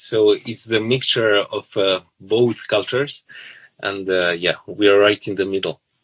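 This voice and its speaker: A man with a Serbian accent, fairly even intonation and a fairly slow pace, in a dry, close sound with no echo. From southern Serbia. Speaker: violinist. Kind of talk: interview. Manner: halting, many fillers.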